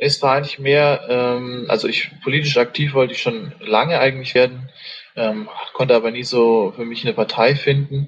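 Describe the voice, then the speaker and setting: A man at a medium pitch and moderate pace, with ordinary pitch variation and noticeable background noise. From Saxony, Germany. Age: 20s. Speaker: political party candidate. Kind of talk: interview. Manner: hesitant, many fillers.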